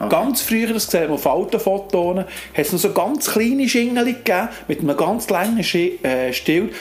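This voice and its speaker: Noticeable background noise runs under a man speaking at a moderate pace with lively intonation. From Switzerland, canton of Bern (Alchenflüh). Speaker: sports association manager and player. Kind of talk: casual interview.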